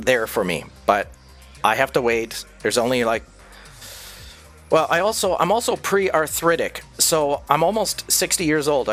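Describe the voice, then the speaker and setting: Music plays in the background as a man speaks at a moderate pace with very wide pitch swings and long, frequent pauses. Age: almost 60. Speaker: streamer, former radio broadcaster. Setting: cheap microphone. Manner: casual, profane, joking.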